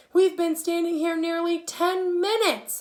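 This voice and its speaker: Using a put-on character voice, a woman speaks at a moderate pace in an extremely high, shrill tone with monotone, flat intonation. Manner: complaining, demanding.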